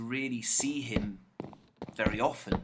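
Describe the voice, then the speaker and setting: This man speaks at a medium pitch in a relaxed tone. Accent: British. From UK. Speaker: gaming YouTuber. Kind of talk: casual gameplay commentary. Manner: relaxed, chatty.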